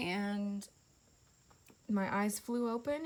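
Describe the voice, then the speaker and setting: Her voice is somewhat breathy. This woman speaks at a fairly high pitch. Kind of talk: casual testimony. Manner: casual, many fillers.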